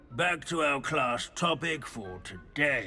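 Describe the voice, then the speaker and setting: Over clear background noise, a man uses a put-on character voice, fairly high in pitch and fairly slow in pace. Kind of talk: lecture. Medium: video game. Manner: pedantic, meandering.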